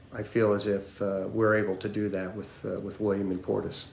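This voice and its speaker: Audible room echo surrounds a man with a fairly low pitch. He speaks in a monotone, flat delivery at a moderate pace. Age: 70s. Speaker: retired client giving testimonial. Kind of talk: testimonial interview. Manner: halting, many fillers and repetitions.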